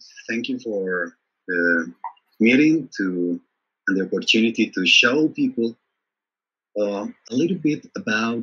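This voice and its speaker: A man with a Spanish accent talks at a medium pitch and a fairly slow pace. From Colombia, Bogota. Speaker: design trainer. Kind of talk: interview. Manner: halting.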